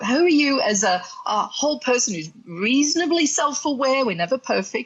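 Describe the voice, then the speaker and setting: In an Australian accent, a woman talks at a moderate pace and a high pitch with very wide pitch swings, noticeable background noise behind her. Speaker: sex and relationship coach. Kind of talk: podcast interview.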